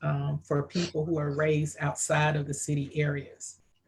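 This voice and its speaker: A woman with an American accent speaks at a very deep, low pitch, somewhat breathy, at a moderate pace. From rural US. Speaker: interviewer and book co-author. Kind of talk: live interview.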